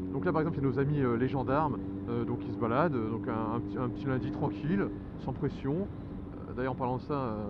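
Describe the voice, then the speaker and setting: A man with a medium-pitched voice talks at a very fast pace amid noticeable background noise and audible room echo. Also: ordinary pitch variation. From Picardy, northern France. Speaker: motorcycle vlogger. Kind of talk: casual vlog monologue. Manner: fast, under-articulated.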